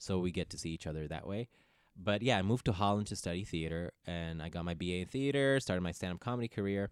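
Very deep and low in pitch, a man talks at a very fast pace on a very clean recording with a silent background. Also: ordinary pitch variation. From Ethiopia. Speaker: actor and comedian. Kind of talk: casual chat. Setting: studio.

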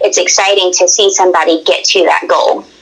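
Her pitch is medium for a woman. She speaks in a monotone, flat intonation. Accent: Southern US. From Tennessee. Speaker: hunter. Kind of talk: casual chat.

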